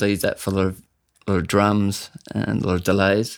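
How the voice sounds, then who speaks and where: On a very clean recording with a silent background, a man speaks at a moderate pace with a fairly low pitch. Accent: Australian. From Australia. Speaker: bass player and dub artist. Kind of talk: casual interview.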